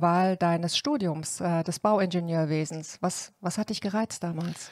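A woman at a moderate pace with ordinary pitch variation, dry sound with no echo and a quiet background. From Cologne, Germany. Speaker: podcast host, industry association director; podcast host. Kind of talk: interview. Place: office. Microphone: studio mic.

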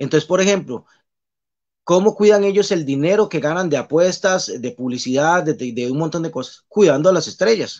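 A man talks with a high pitch at a moderate pace. His intonation is lively, and the background is quiet. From Costa Rica, Pérez Zeledón; Costa Rica. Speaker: basketball referee; guest. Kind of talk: casual interview. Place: home room. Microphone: video call.

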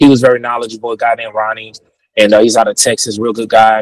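Recorded dry with no echo, a man speaks over a quiet background. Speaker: guest. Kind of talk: interview answer. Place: car. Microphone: earbuds.

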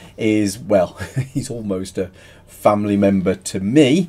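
A man is talking. The rise and fall of his pitch is ordinary. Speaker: channel host. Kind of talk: casual vlog chat. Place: home room. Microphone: webcam.

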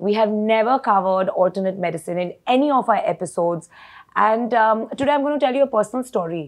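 Over a quiet background, a woman with a fairly high pitch talks at a very fast pace with lively intonation. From India. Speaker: talk show host, pharma executive; talk show host. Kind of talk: talk show interview. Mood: warm, engaged. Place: studio. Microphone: lapel.

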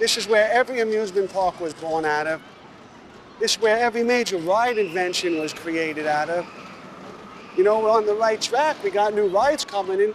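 A man with a Brooklyn accent talks at a fairly quick pace, his pitch high with ordinary variation. Noticeable background noise is present. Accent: New York (Brooklyn). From New York City, Brooklyn. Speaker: tour guide and local historian. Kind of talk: documentary interview.

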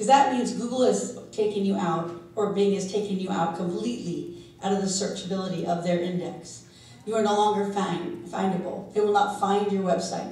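A woman with a medium pitch is heard with audible room echo. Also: ordinary pitch variation. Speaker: SEO consultant and conference speaker. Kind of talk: conference talk. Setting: stage with audience. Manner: fast talker. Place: hall.

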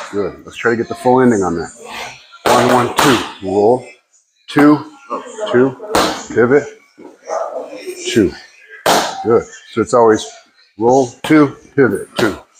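Over loud background noise, a man speaks at a very slow pace. His pitch varies in an ordinary way, and his pauses are long and frequent. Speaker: boxing coach. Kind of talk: coaching instructions. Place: gym.

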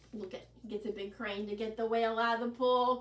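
A woman with a fairly high pitch talks at a fairly quick pace, keeping her intonation fairly even.

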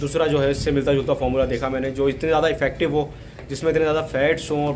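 A man talks at a fairly quick pace in a monotone, flat intonation, with light background noise. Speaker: goat farmer vlogger. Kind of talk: casual vlog chat. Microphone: phone near.

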